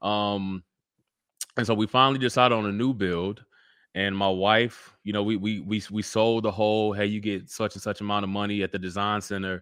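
Against a quiet background, a man with a fairly low pitch talks at a moderate pace in an unremarkable speaking voice with ordinary pitch variation. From Central Texas. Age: 30s. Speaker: children's book author and real estate agent. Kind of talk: casual interview.

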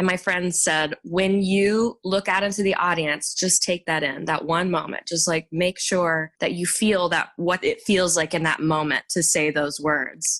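With an unremarkable speaking voice, a woman talks at a fairly slow pace and fairly low pitch, her loudness very even, her intonation fairly even and her pauses few. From Texas, Garland suburb of Dallas. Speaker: Broadway singer and actress. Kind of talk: interview.

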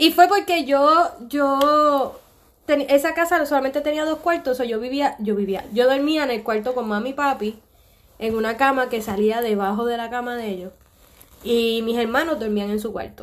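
A woman speaks at a moderate pace in a high pitch. Her pitch varies in an ordinary way. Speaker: podcast co-host. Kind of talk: casual chat.

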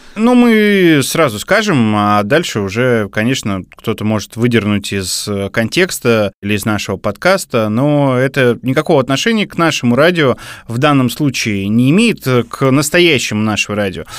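Recorded very cleanly against a silent background, a man with medium pitch moves at a moderate pace while his pitch swings very widely. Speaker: radio program director, co-host. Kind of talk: casual chat.

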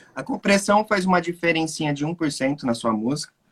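A man talks at a moderate pace with a fairly high pitch. It is a plain, everyday voice. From Brazil. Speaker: music production teacher and host. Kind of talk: casual chat.

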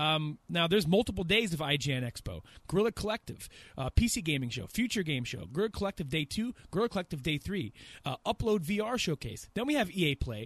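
A man speaks at a fairly quick pace and a high pitch, making very wide pitch swings. The recording is very clean with a silent background, and the sound is dry and close with no echo. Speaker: gaming podcast host. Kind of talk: casual chat.

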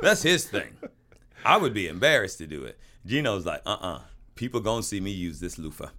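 Bright and sharp in tone, a man with a fairly low pitch speaks at a fairly quick pace with lively, animated intonation, big swings in loudness and long, frequent pauses. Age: old. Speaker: podcast co-host. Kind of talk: casual chat.

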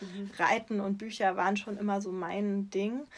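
Her pace is moderate and her pitch medium. The woman has an unremarkable speaking voice. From southwestern Germany, Freiburg im Breisgau. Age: 30s. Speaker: children's book author. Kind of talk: interview.

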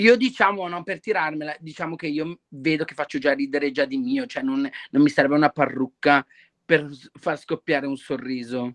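Using a normal speaking voice, a man talks at a moderate pace with fairly high pitch and lively intonation, in a dry, close recording without echo. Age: 20s. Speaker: drag performer. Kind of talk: casual chat.

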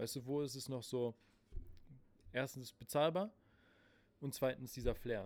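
A man talks at medium pitch with ordinary pitch variation. His speech has long, frequent pauses. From Berlin (Spandau). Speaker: podcast host. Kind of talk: casual chat. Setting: recorded live in a late-night shop.

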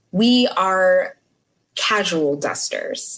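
A woman speaks in an unremarkable speaking voice at a medium pitch. Her intonation is lively. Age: 20s. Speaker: quality compliance specialist. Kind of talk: casual chat.

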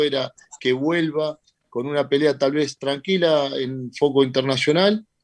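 A man with an ordinary speaking voice, at a fairly slow pace and fairly high pitch. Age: 40s. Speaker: boxing promoter. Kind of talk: radio interview. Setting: video call.

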